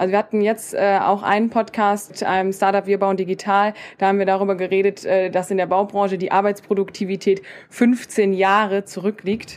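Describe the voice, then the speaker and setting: Speaking at a fairly quick pace, a woman keeps a medium pitch, very even loudness and a monotone, flat intonation. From Germany, Koblenz. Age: 20s. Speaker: podcaster and student from a trades family business. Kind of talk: casual interview chat. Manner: hesitant fillers (ähm, äh).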